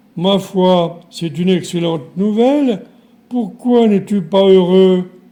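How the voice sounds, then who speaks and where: Putting on a character voice, a man speaks with a high pitch at a fairly slow pace. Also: ordinary pitch variation. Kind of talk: bedtime story. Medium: read story. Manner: warm, kindly.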